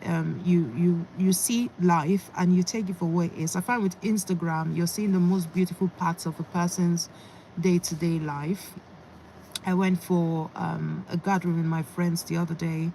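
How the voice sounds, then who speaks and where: A woman speaks with an English accent at a moderate pace. Her voice is fairly low, and her intonation is fairly even. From England. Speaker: fitness youtuber. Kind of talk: casual live-stream chat. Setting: in a parked car.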